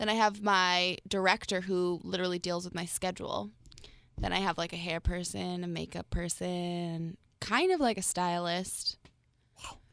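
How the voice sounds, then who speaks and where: In a very clean recording with a silent background, a woman with an American accent uses a plain, everyday voice at a fairly low pitch, her intonation fairly even. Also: moderate pace. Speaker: beauty pageant titleholder. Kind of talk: casual chat. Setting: studio.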